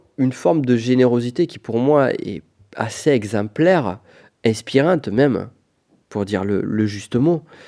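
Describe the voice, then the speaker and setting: Speaking fairly slowly with a strong southwest French accent, a man uses a dark, mellow tone and very wide pitch swings. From Pyrenees, southwest France. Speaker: business coach, podcast host. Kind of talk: solo podcast monologue. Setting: on location in Florence. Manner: casual, conversational.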